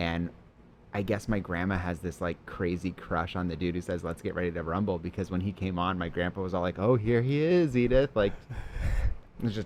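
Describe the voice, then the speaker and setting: Mumbling at a fairly quick pace, a man with a very deep, low pitch shows ordinary pitch variation. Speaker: improv comedian. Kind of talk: casual chat.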